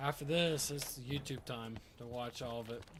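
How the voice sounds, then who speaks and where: A quiet, somewhat breathy man at a moderate pace with fairly even intonation. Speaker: gaming streamer. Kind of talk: live gameplay commentary. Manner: quiet, focused.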